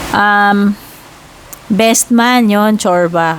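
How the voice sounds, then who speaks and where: With noticeable noise around her, a woman talks at a medium pitch, her pitch varying in an ordinary way. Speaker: tarot reader. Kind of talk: tarot reading. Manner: cannot speak loudly; casual, chatty with fillers.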